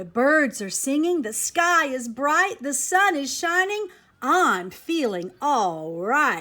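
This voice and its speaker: A woman uses a put-on character voice, high-pitched and very slow. Her pitch swings very widely. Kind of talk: bedtime story. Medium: read story.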